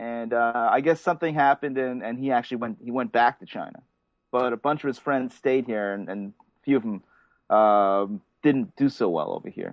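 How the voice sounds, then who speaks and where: A man speaks at a moderate pace in a medium pitch with ordinary pitch variation, a plain, everyday voice. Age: 40s. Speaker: painter. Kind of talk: casual chat. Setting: video call.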